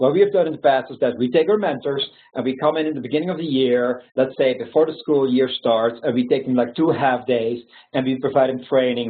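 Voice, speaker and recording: A man talks with a medium pitch. His pitch varies in an ordinary way. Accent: Belgian. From Belgium. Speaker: founder of a youth mentoring nonprofit. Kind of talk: webinar presentation with Q&A. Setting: online webinar. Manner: halting, many fillers.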